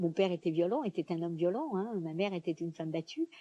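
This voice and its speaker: A woman speaks at a moderate pace. The sound is dry and close with no echo, over a quiet background. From France. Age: 70s. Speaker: performer with a one-woman show. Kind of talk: interview. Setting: outdoors.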